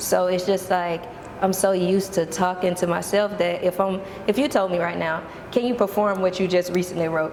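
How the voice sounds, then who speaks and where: With noticeable background noise behind her, a woman speaks at a moderate pace and a medium pitch. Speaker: multifaceted artist and performer. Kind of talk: casual interview chat. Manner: animated.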